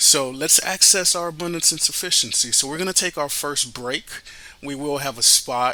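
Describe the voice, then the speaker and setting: At a moderate pace and a fairly high pitch, a man speaks with ordinary pitch variation against noticeable background noise. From Miami, Florida, Haitian family. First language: Haitian Creole. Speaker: radio host and financial advisor. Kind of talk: podcast introduction.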